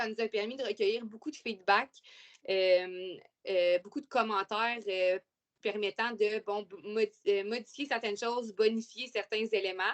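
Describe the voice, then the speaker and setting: A woman speaks with a Quebec accent at a fairly high pitch. Her pace is fairly slow and her intonation fairly even. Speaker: webinar presenter, youth intervention worker. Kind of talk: webinar presentation. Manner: hesitant, many fillers.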